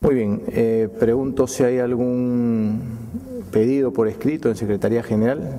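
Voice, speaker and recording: A man with a Peruvian accent, fairly slow pace, very even loudness and fairly even intonation. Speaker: mayor chairing council. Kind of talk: formal council session. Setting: council chamber. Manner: formal. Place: hall. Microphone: podium.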